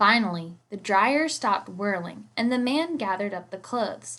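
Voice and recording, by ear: With lively intonation and a fairly bright tone, a woman speaks at a medium pitch and a fairly slow pace.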